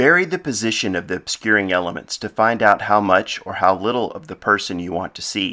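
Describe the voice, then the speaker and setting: A man's fairly low, plain, everyday voice at a fairly quick pace, in a very clean recording with a silent background. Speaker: photographer and author. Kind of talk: audiobook-style instructional reading.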